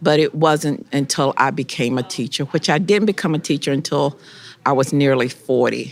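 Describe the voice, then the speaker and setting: A woman speaks with a very deep, low pitch and vocal fry. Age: 60s. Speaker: high school history teacher. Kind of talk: interview.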